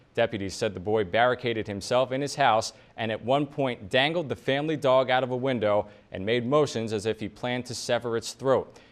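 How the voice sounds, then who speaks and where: Using a normal speaking voice, a man of medium pitch moves at a fairly quick pace with ordinary pitch variation. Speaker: television news anchor. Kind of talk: TV news anchor read.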